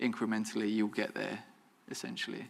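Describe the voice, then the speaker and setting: A man mumbles. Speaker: photographer, alumni guest speaker. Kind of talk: Q&A after a talk. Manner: mumbling; careful enunciation, occasional stumbles.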